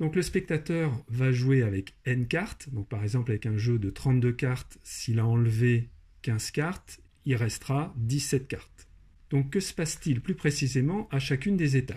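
Lively in intonation and somewhat breathy, a man speaks at a medium pitch. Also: very clean recording, silent background. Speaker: maths and programming teacher. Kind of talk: tutorial narration.

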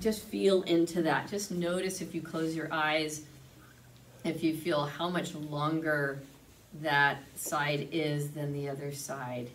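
A woman's very deep, low voice at a very slow pace, with ordinary pitch variation and light background noise. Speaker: yoga teacher. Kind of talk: guided yoga class instruction. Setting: video class recorded for online channel. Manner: calm, soothing, unhurried; clear, instructive, gently encouraging. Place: home room. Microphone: camera far.

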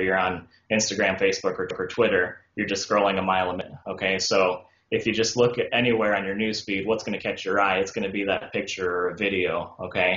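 A man talks very fast in a fairly low voice with hardly any pauses. His intonation is monotone and flat, and there's audible room echo. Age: 20s. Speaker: dentist; guest. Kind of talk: interview. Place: home room. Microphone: video call.

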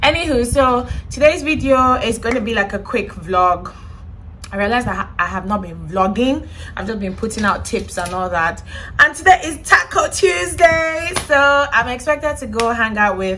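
Over light background noise, a woman with a high voice sweeps through very wide pitch swings. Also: moderate pace. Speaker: vlogger. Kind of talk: casual vlog chat. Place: home room. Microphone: phone near.

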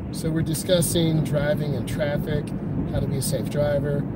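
A man talks at a moderate pace, and the sound is dry with no echo. Loud background noise runs underneath. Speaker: driving instructor. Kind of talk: commentary. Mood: calm, relaxed. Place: car. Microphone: phone near.

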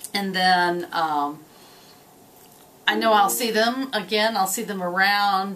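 Using ordinary pitch variation, a woman speaks at a very slow pace. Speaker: college teacher. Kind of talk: interview answer. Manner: casual, cheerful. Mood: cheerful, warm. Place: office.

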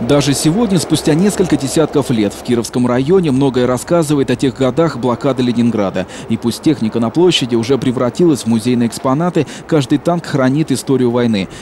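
Noticeable background noise sits behind a man's medium-pitched voice. He talks at a fairly quick pace with ordinary pitch variation. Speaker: TV news reporter. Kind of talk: news report narration.

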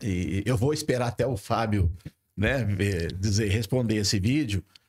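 Somewhat breathy, a man talks at a fairly slow pace with ordinary pitch variation over a quiet background. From Presidente Prudente, interior of São Paulo state, Brazil; São Paulo state, Brazil. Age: 60s. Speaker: mayoral pre-candidate; candidate. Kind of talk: podcast interview discussion. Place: studio. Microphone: studio mic.

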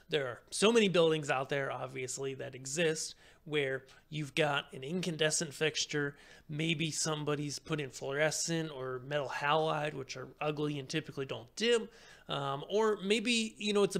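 A man talks at a moderate pace with a fairly high pitch, ordinary pitch variation, a fairly bright tone and vocal fry.

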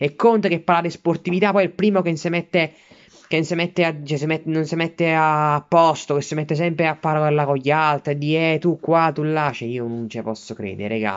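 A man speaks in a furious tone at a fairly quick pace against a quiet background. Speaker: Milan fan vlogger. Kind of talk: angry rant, foul-mouthed sports fan tirade. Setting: self-filmed video at home while studying. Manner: furious, sputtering, swearing in almost every sentence; indignant, repetitive, outraged, shouting at rivals. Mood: angry, indignant. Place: home room. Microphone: phone near.

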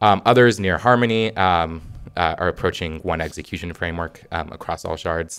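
Very deep, low-pitched male voice at a moderate pace. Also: ordinary pitch variation. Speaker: software engineer; conference presenter. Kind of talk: conference talk. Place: hall.

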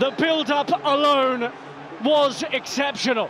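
The voice shows ordinary pitch variation while noticeable background noise carries underneath. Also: man. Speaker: match commentator. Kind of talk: live sports commentary, call-by-call match narration.

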